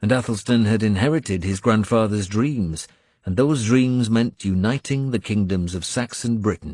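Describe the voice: The pitch rises and falls in an ordinary way. The delivery is plain reading aloud.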